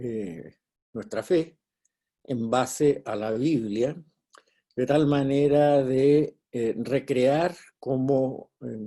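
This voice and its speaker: Long, frequent pauses break up a man's very slow speech. His tone is dark and mellow, at medium pitch with ordinary pitch variation. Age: 70s. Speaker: bible teacher. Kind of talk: lecture.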